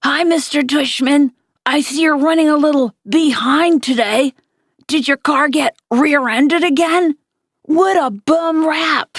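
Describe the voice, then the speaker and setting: A woman puts on a character voice at a high pitch. She speaks at a fairly slow pace. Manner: teasing, joking.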